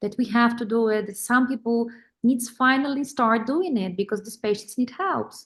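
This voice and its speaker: Here a woman talks at a moderate pace with a Polish accent. Her pitch is fairly high, with ordinary variation. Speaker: vein specialist doctor. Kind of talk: webinar panel discussion. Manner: halting.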